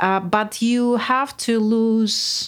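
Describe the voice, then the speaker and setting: The voice carries a Russian accent. The recording is very clean, with a silent background. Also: woman. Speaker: music producer and songwriter. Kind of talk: casual chat. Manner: halting.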